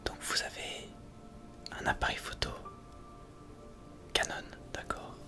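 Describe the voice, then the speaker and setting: Whispering in a calm tone over music in the background, the speaker goes at a very slow pace with long, frequent pauses. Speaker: ASMR creator. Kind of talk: ASMR roleplay as a camera shop salesperson. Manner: soft-spoken, calm, helpful.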